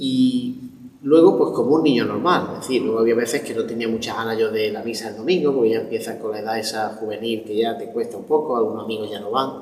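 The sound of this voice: Through audible room echo, a man with a fairly low pitch and slightly mellow tone talks fast with few pauses and ordinary pitch variation.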